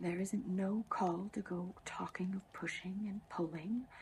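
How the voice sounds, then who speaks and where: Soft-spoken and somewhat breathy, a woman talks in a dark, mellow tone. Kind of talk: soft-spoken ASMR book reading, sleep aid. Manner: soft-spoken, relaxing.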